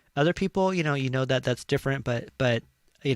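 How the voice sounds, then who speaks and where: Recorded with a dry, close sound and no echo, a man speaks at a very fast pace with medium pitch. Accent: Californian. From California, Chicano. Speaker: talk show host. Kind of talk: casual chat. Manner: halting, many fillers.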